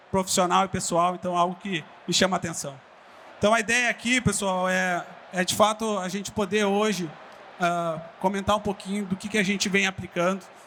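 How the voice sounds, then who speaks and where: With a southern Brazilian accent, a man speaks high-pitched and fairly quickly, keeping his intonation fairly even. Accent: gaúcho. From southern Brazil (Rio Grande do Sul). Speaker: digital business executive. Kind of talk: conference talk. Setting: stage with audience.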